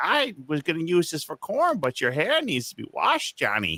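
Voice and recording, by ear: Using a put-on character voice, the man talks at a moderate pace.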